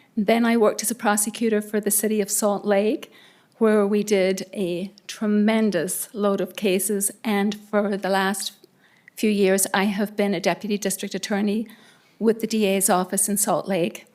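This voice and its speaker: Speaking with a slight Irish accent, a woman holds a medium pitch in a monotone, flat intonation. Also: moderate pace. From Ireland. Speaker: judge appointee, former prosecutor. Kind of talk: self-introduction at council meeting.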